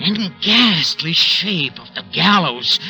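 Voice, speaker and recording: A man speaks while music plays in the background. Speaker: old-time radio actor, star of the series. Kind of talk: radio drama first-person narration. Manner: agitated, halting, stammering, fearful.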